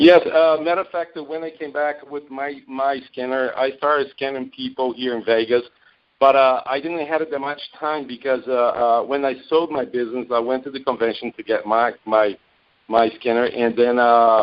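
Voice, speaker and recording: A man with a Brazilian Portuguese accent speaks at a moderate pace in a medium pitch, with fairly even intonation. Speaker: network marketing distributor. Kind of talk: interview on a call. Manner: halting, many fillers.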